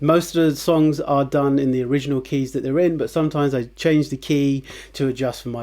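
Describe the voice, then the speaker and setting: Fairly even intonation and a fairly high pitch for a man mark his voice, a plain, everyday voice. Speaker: guitar teacher. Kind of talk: tutorial. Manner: casual, with many fillers.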